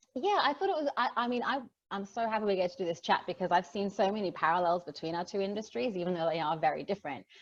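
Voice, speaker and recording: Lively intonation marks this speaker, who talks at a very fast pace in an Australian accent. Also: woman, medium pitch for a woman. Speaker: digital marketer. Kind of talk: casual chat.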